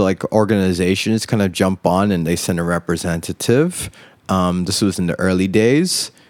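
In an American accent, the speaker talks at a fairly slow pace, the sound dry and close with no echo on a very clean recording against a silent background. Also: man. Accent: American, international school. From USA, raised partly in Indonesia. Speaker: DJ and event coordinator. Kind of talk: casual chat. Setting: outdoors on a rooftop.

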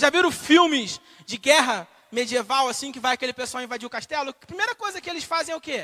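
A man with an extremely high pitch speaks at a very fast pace in a raised, projected voice, bright and sharp in tone, animated, with lively intonation and big swings in loudness. The sound is dry and close with no echo. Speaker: preacher and podcaster. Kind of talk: sermon to a live congregation. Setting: church with microphone and congregation. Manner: animated, call-and-response, rhetorical questions.

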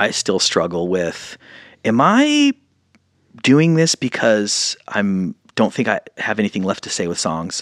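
A man with a plain, everyday voice speaks at a fairly low pitch with lively intonation. The sound is dry and close with no echo, on a very clean recording with a silent background. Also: fairly slow pace. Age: 40s. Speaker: independent musician and actor. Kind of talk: casual interview chat.

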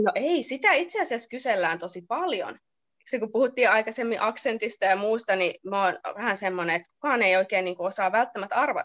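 Speaking at a fairly quick pace, a woman with a fairly high pitch and lively intonation has a plain, everyday voice. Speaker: nurse. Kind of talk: casual interview.

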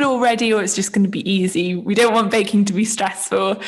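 With a southern English accent, a woman speaks at medium pitch over noticeable background noise. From England, Isle of Wight. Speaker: yoga teacher and baker. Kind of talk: casual chat.

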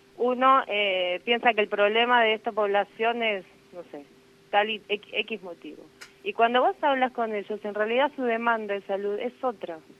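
At a moderate pace, a woman with an unremarkable speaking voice talks at a fairly high pitch, with ordinary pitch variation and big swings in loudness. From Buenos Aires, Argentina. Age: 30s. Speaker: nurse. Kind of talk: interview.

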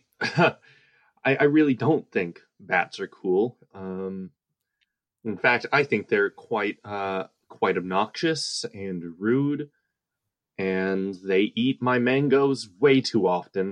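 In a put-on character voice, a man whines at a very slow pace, fairly low in pitch with lively intonation. The background is quiet. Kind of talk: comic improv. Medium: audio drama. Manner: nervous, whiny, hesitant.

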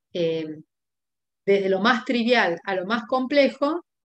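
Speaking at a fairly slow pace, a woman uses a plain, everyday voice at medium pitch. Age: 50s. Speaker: homeopathic doctor. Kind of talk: expert interview.

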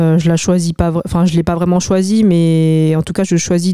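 Dry and close with no echo, a woman's voice comes across dark and mellow at a fairly low pitch, her intonation monotone and flat. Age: 20s. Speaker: barista. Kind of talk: casual chat. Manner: hesitant.

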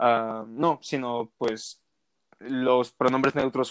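A man speaks in a flat monotone, recorded dry and close with no echo against a quiet background. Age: 20s. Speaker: podcast guest. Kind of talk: casual interview.

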